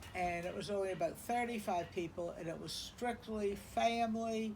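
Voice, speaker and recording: A woman with an American accent speaks at a fairly slow pace in a somewhat breathy voice, her pitch varying in an ordinary way, with audible echo from the room. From South Carolina, Charleston. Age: 70s. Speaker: interviewee recounting family history. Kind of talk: oral history interview. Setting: beach house porch.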